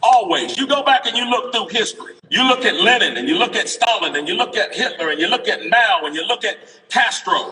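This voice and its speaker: Talking at a fairly quick pace with hardly any pauses, a man sounds animated against noticeable background noise. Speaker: political speaker at a rally. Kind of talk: impassioned rally speech. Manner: loud.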